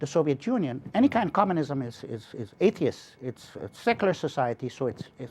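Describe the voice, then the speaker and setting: The speaker is a man. His pitch swings very widely. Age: 60s. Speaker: political movement leader. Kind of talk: interview. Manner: animated.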